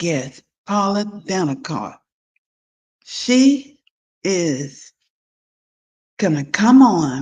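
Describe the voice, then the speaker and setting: A woman speaks at a very slow pace. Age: 60s. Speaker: podcast host. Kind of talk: podcast intro monologue. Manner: halting.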